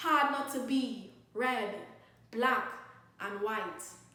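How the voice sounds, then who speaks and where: A woman's raised, projected, high-pitched voice in a Trinidadian accent, against noticeable background noise. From Trinidad and Tobago. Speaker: spoken word poet. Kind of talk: spoken word poetry performance.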